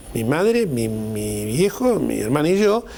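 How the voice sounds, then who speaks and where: With lively intonation, a man at a medium pitch talks against noticeable background noise. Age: 60s. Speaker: TV talk show host. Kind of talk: TV panel discussion. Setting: TV studio.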